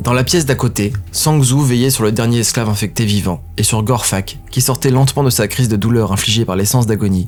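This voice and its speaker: Over music in the background, a man talks with hardly any pauses, his loudness very even and his pitch variation ordinary. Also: medium pitch for a man, fairly quick pace. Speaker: audio fiction narrator. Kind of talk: scripted narration.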